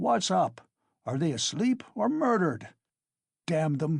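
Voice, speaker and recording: Shouting in a put-on character voice, a man uses a raspy, fairly high voice with very wide pitch swings against a quiet background. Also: fairly slow pace. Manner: bawling, shouting.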